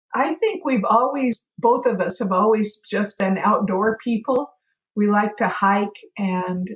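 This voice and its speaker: A woman talks at a very slow pace in a somewhat breathy voice, with ordinary pitch variation. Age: 70s. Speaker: retired traveler, interview guest. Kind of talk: casual interview chat.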